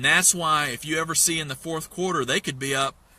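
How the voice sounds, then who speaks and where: Bright and sharp in tone, this animated voice comes through a very clean recording over a silent background. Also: man. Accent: Southern US. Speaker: investment mentor. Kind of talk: motivational talk. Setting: in a parked truck.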